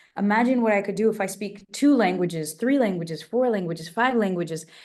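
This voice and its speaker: A dark, mellow tone with a Portuguese accent, delivered at a fairly quick pace with ordinary pitch variation. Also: woman. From immigrant child, grew up in an English-speaking country. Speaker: travel host and polyglot. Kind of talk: radio interview. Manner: animated.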